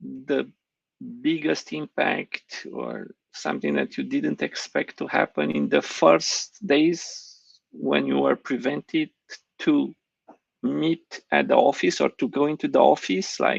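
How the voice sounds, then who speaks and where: A man speaks at a very slow pace in a dry, close recording with no echo. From Romania. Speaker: conference host. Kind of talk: panel moderation. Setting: online live stream.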